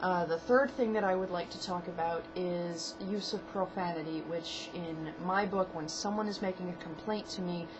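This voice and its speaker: Over noticeable background noise and audible room echo, a woman with a fairly low pitch talks at a moderate pace with ordinary pitch variation and hardly any pauses. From New England (Maine). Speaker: hotel clerk. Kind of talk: casual advice vlog. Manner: casual, with many fillers.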